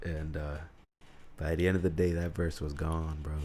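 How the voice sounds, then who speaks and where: A dark, mellow tone at a fairly quick pace, with an American accent. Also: man. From Utica, New York. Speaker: podcaster. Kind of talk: casual solo monologue.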